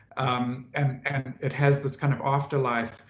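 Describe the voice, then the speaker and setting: A man's somewhat breathy voice at a medium pitch. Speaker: professor. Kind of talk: Q&A after academic seminar talk. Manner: halting, many fillers and repetitions.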